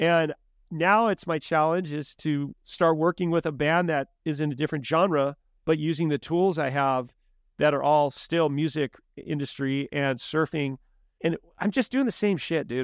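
A man with an American accent and an ordinary speaking voice, fairly high in pitch with ordinary variation, at a moderate pace, in a very clean recording with a silent background and a dry, close sound with no echo. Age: 50s. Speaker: punk band manager. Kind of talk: casual interview chat.

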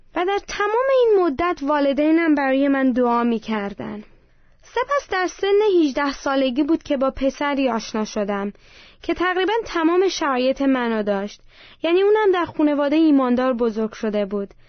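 A woman speaks at a moderate pace with a high pitch. Her pitch swings very widely. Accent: Armenian. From Iran, Armenian family. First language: Armenian (speaking Persian). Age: 20s. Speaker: churchgoer giving testimony. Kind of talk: testimony.

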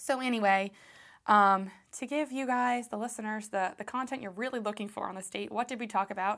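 A woman talks fairly quickly at a fairly high pitch, with an animated tone. The recording is very clean, with a silent background. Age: 20s. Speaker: podcast host. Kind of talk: casual chat. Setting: studio.

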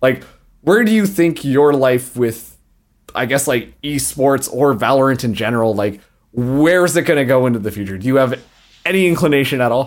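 Lively intonation marks this man's plain, everyday voice, pitched medium and delivered at a moderate pace. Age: 20s. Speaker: podcast host. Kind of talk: casual chat.

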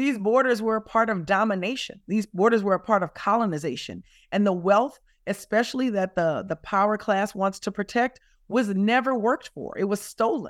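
A woman with a Louisiana accent, medium pitch and moderate pace, in a dry, close sound with no echo. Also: ordinary pitch variation. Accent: Southern US (Louisiana). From South Louisiana, US. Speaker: climate justice advocate. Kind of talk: interview. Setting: remote interview from California.

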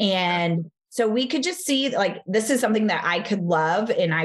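Somewhat breathy, this voice moves at a moderate pace in a Texan accent. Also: woman. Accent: Texan (US Southern). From Texas. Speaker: fitness studio franchise founder. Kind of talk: interview.

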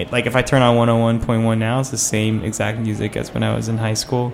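Noticeable background noise sits under this recording. A man speaks at medium pitch in a flat monotone. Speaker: radio host. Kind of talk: casual chat. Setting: studio.

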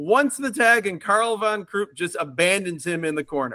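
In a raised, projected voice with a bright, sharp tone, a man speaks at a moderate pace with lively intonation, captured in a very clean recording against a silent background. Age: 40s. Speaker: podcast host. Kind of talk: casual chat.

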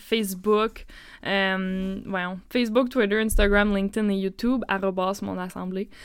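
A woman's medium-pitched, monotone voice at a very slow pace, flat in intonation, in a very clean recording with a silent background. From Northern Ontario, Hearst. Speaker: podcast host. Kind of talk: casual chat.

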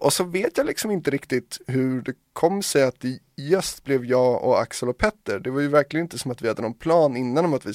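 An unremarkable speaking voice, this man's is fairly high in pitch, with lively intonation at a fairly quick pace. The recording is very clean with a silent background, and the sound is dry and close with no echo. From Sweden, Hungarian parents. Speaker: DJ and producer. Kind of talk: casual chat.

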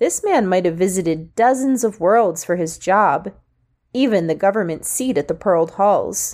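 Someone reads aloud in a natural voice with lively intonation over a quiet background.

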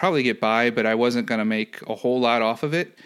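In a plain, everyday voice, a man of medium pitch speaks at a moderate pace with ordinary pitch variation on a very clean recording with a silent background. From US Midwest, St. Louis, Missouri. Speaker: analytics business manager. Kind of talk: casual interview. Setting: podcast.

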